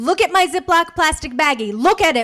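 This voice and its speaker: A woman speaks with lively intonation. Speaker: stand-up comedian. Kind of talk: stand-up comedy set to a live audience.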